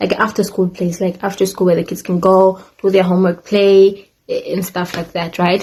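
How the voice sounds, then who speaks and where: A woman's medium-pitched voice at a moderate pace, with monotone, flat intonation. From Africa. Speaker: YouTuber, former au pair. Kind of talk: casual storytime vlog. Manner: casual, chatty with fillers.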